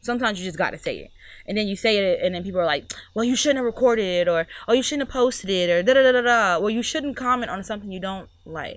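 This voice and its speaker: Very fast delivery with lively intonation and big swings in loudness. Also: woman, fairly high pitch for a woman. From Mississippi. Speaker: small business owner. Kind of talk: casual chat.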